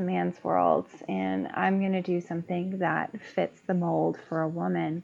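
Soft-spoken and fairly slow, a woman talks with an American accent. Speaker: construction project manager. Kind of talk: panel interview.

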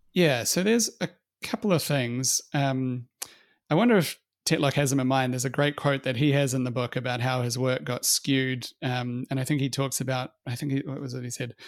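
A man's medium-pitched voice at a fairly quick pace, in a dry, close sound with no echo. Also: ordinary pitch variation. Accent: New Zealand. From New Zealand. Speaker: fund manager. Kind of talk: interview conversation. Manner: halting, many fillers.

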